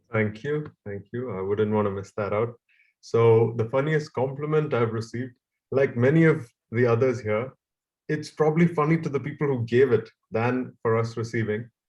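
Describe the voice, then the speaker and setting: A man's somewhat breathy voice shows ordinary pitch variation. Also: moderate pace. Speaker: club member. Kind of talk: impromptu speech on video call.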